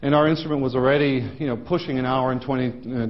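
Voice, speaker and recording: With audible room echo and noticeable background noise, a man speaks very fast at medium pitch with fairly even intonation. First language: Dutch. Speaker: professor. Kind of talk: lecture. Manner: halting, many fillers.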